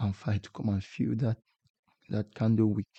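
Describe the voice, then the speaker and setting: A man with a non-native accent speaks at a moderate pace, his pitch fairly low with ordinary variation. His tone is dark, mellow and somewhat breathy, and the sound is dry and close with no echo. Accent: non-native English accent, self-described. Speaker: forex trading YouTuber. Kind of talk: tutorial. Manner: halting, repeats words.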